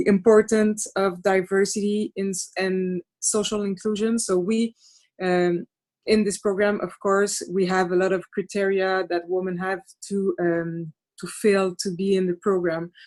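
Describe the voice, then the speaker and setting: With a Quebec accent, a woman speaks at a medium pitch in a monotone, flat way. The sound is dry and close, with no echo. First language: French. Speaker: city councillor. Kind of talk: panel discussion. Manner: halting.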